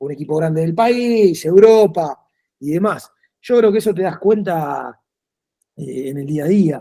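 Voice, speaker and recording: Dark and mellow in tone, a man's voice carries an Argentine accent and ordinary pitch variation. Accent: Rioplatense Argentine Spanish. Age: 40s. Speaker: football coach. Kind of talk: interview. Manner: fast.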